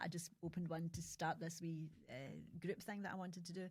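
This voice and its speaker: At a fairly quick pace, a woman talks in a somewhat breathy, fairly low voice with fairly even intonation. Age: 60s. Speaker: podcaster, pensioner. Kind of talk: podcast interview answer.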